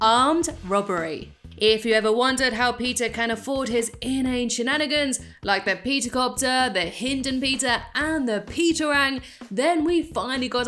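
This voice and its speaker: A woman with a British accent speaks at a moderate pace in a bright, sharp tone, her high pitch showing ordinary variation. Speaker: YouTube commentator. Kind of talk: scripted narration.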